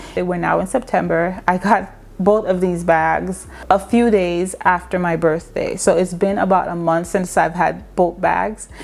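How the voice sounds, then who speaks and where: Over noticeable background noise, a woman speaks at a fairly slow pace with hardly any pauses. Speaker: fashion and beauty vlogger. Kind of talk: casual product review vlog. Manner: loud, projecting voice.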